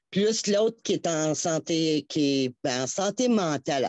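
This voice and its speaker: Against a quiet background, a woman's pitch swings very widely. The sound is dry and close, with no echo. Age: 60s. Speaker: caller to a health and home care show. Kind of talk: phone-in testimony. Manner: halting, many repetitions.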